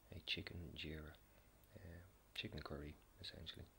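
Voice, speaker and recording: A gentle-toned whisper at a moderate pace. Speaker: video blogger. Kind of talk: casual late-night talk to camera. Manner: soft-spoken, gentle, quiet.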